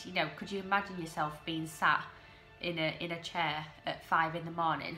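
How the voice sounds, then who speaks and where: Monotone, flat intonation over music in the background. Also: woman. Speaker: TV episode recap host. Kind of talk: casual talk to camera.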